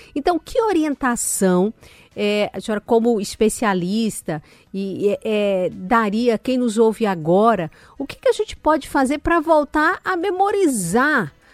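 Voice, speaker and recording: At a fairly slow pace, a woman's fairly high voice makes very wide pitch swings, recorded dry and close with no echo in a very clean recording with a silent background. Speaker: radio health show host. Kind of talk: radio interview.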